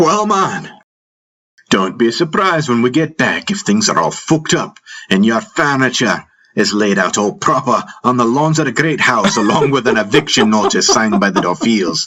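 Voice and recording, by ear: A man's put-on character voice, bright and sharp in tone with a slightly husky edge, big pitch swings and a moderate pace. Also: medium pitch for a man.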